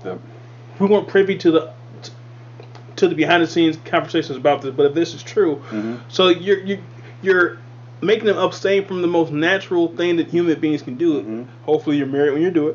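A man talks at a very fast pace with fairly high pitch and lively intonation over noticeable background noise. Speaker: podcast host. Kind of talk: casual chat about wrestling.

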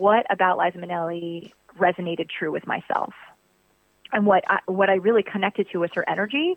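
With fairly even intonation and fairly low pitch, a woman talks at a fairly quick pace in a plain, everyday voice. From Virginia, US. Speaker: stage and screen actress. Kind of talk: casual interview.

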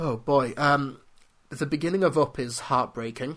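A man speaks with a British accent at a fairly high pitch. His pitch variation is ordinary, and the background is quiet. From UK. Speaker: film critic podcast host. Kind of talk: solo podcast commentary.

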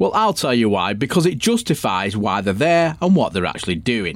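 A man with a fairly high pitch, very wide pitch swings and vocal fry. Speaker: podcast host and ghost hunter. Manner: exasperated, swearing and mocking, with sarcastic put-on voices.

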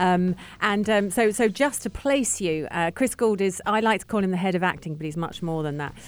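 A woman's medium-pitched voice in a London accent, fairly quick, with ordinary pitch variation. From London, England. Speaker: radio host. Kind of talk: radio show.

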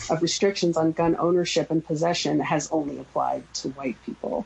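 This woman has a plain, everyday voice, fairly low in pitch, moving at a moderate pace with fairly even intonation. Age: 40s. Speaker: gun violence prevention advocate. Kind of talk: radio interview.

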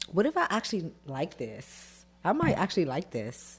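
Music plays behind the speaker. She is a woman with an American accent. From US, Washington DC. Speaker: clothing and shoe designer. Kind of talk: casual interview.

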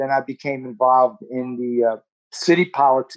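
A medium-pitched man with a New Jersey accent. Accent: New Jersey American. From Newark, New Jersey (Ironbound). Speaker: community organization board member. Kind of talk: interview.

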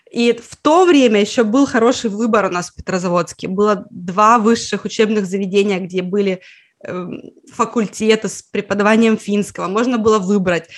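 A woman has an ordinary speaking voice with medium pitch and ordinary pitch variation. She keeps a moderate pace against a quiet background. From Russia, Karelia (Petrozavodsk). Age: 30s. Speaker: Finnish language teacher, online school founder. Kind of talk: interview conversation.

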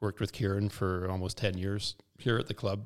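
A man in a Western Canadian accent, fairly low in pitch and at a moderate pace, in a very clean recording with a silent background. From Kamloops, British Columbia, Canada. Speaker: former youth soccer coach and board member. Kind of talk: casual interview chat. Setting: boardroom studio.

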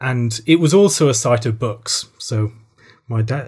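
This voice belongs to a man. There is a somewhat breathy quality to it. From Republic of Ireland. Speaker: theologian. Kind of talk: interview.

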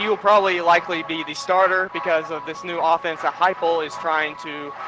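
A man's high-pitched voice at a fairly quick pace, with ordinary pitch variation and music in the background. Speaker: college student intern. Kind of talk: casual pregame chat.

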